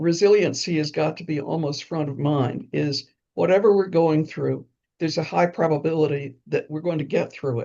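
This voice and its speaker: A woman with an American accent speaks at a moderate pace in a very deep, low pitch. Her voice has vocal fry and ordinary pitch variation. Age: 80s+. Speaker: retired urban planner and memoir author. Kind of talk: interview.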